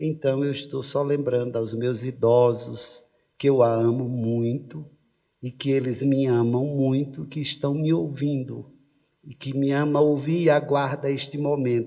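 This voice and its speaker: This is an ordinary speaking voice, moving at a fairly slow pace with fairly even intonation. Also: man, medium pitch for a man. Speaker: pastor. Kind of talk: sermon.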